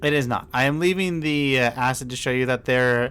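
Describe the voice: The reading aloud is plain, and the pitch moves in an ordinary way.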